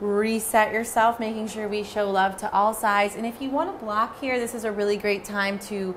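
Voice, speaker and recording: A woman speaks at a moderate pace with light background noise. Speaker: yoga instructor. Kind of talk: guided yoga instruction. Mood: calm, soothing, gentle. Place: home room.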